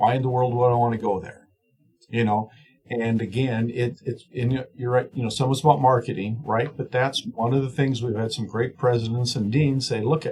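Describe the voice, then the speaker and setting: A somewhat breathy male voice of medium pitch, fairly even in intonation, at a moderate pace. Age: 60s. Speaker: swine nutrition professor. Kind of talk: podcast interview. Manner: rambling, many fillers and restarts.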